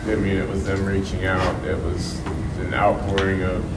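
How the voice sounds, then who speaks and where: The man talks fairly slowly while noticeable background noise carries on behind him. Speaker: podcaster on a panel. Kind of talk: roundtable discussion answer. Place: meeting room.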